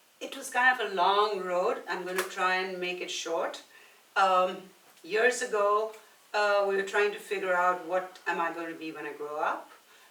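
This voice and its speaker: The speaker keeps a moderate pace with ordinary pitch variation and big swings in loudness, and the room echo is audible. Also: woman, medium pitch for a woman. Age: 60s. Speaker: personal trainer and nutrition coach. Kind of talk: casual podcast interview. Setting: podcast recorded at a brewery.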